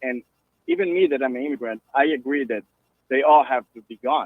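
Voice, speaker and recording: A man with a Brazilian Portuguese accent at a fairly quick pace. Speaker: caller. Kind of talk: call-in radio conversation.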